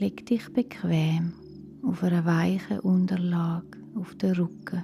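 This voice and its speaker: Music runs in the background as the speaker talks in a calm tone at a very slow pace. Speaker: meditation guide. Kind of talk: guided relaxation for children. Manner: calm, slow, soft-spoken.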